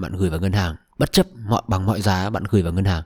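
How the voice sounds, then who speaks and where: Recorded very cleanly against a silent background, a man speaks in a dark, mellow tone. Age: 20s. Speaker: podcast host. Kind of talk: solo podcast monologue. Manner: casual, conversational.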